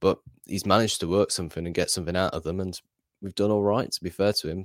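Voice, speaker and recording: A man speaks very fast in a flat, monotone way. The recording is very clean, dry and close, with no echo and a silent background. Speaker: football fan channel contributor. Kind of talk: casual chat.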